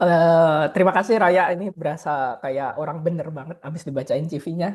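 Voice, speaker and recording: A man with a high voice speaks at a moderate pace, his pitch varying in an ordinary way while his loudness swings widely. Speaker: researcher and advocacy officer. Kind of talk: lecture presentation. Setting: online video call. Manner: hesitant with many fillers.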